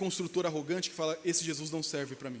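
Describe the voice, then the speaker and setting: His voice is high for a man. He speaks very fast. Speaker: pastor. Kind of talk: sermon. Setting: church. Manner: fast, slurred speech.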